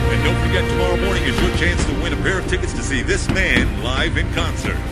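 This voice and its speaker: A man speaks at a fairly quick pace, the sound dry with no echo despite loud background noise. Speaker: radio announcer. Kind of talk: radio station DJ announcement.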